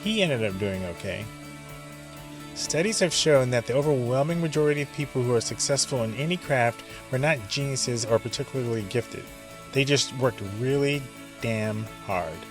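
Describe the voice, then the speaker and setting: With music playing behind him, a man speaks at a fairly quick pace with lively intonation. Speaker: podcast host, filmmaker. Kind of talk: podcast monologue.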